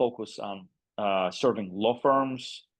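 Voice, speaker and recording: A man with a Russian accent speaks at a fairly low pitch with ordinary pitch variation. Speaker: agency CEO. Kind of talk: podcast interview. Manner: halting, many fillers.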